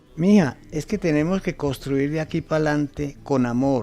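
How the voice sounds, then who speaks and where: The pitch varies in an ordinary way. Music is playing in the background. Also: man. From Colombia. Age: old. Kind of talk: radio drama.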